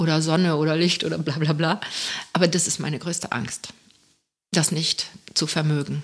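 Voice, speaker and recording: A woman with a very deep, low pitch talks at a moderate pace in a flat, monotone way, leaving long, frequent pauses. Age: old. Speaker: coach and artist. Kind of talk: casual chat.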